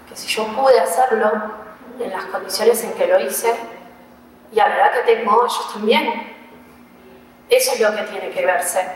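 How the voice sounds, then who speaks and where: A woman's fairly high-pitched voice at a moderate pace, with fairly even intonation, big swings in loudness and long, frequent pauses, amid audible room echo and noticeable background noise. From Argentina, Neuquén. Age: 20s. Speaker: emotional therapist. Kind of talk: interview conversation. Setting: hotel room.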